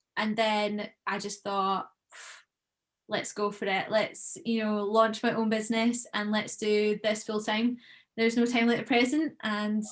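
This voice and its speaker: A woman with a Scottish accent speaks with fairly even intonation. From Scotland (Troon, Ayrshire). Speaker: professional golfer and content creator. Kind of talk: podcast interview.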